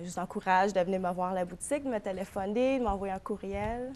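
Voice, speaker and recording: At a fairly quick pace, a woman with an English accent speaks at medium pitch with ordinary pitch variation. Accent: English-speaker accent in French. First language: English (speaking French). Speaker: florist and shop owner. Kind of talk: TV interview.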